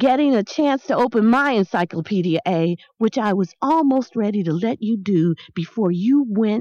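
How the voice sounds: Lively intonation in a natural reading voice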